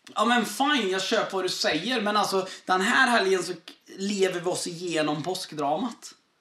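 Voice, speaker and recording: With a raised, projected voice, a man speaks at a high pitch and moderate pace with ordinary pitch variation. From southern Sweden. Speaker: pastor. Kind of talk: casual chat.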